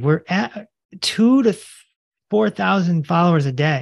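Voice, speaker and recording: Here a man talks with a fairly high pitch. His pace is fairly slow, and the background is quiet. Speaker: holistic health doctor and author. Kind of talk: interview. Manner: animated.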